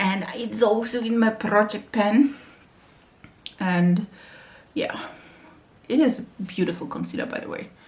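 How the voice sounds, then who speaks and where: A woman with a German accent speaks at a fairly slow pace and a fairly high pitch, with long, frequent pauses. Her pitch varies in an ordinary way while her loudness swings a lot, over noticeable background noise. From Germany. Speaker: beauty YouTuber. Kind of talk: makeup tutorial chat. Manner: halting.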